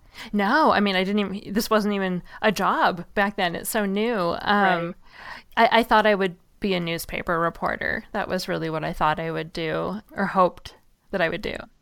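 A woman with an ordinary speaking voice talks at a moderate pace and medium pitch with ordinary pitch variation, in a very clean recording with a silent background. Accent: American. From US Pacific Northwest. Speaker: writer and author. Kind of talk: casual interview chat.

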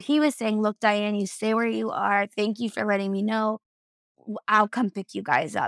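Recorded with a dry, close sound and no echo, a woman speaks at a fairly quick pace in a medium pitch with ordinary pitch variation. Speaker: podcast host. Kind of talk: casual chat. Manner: casual, chatty.

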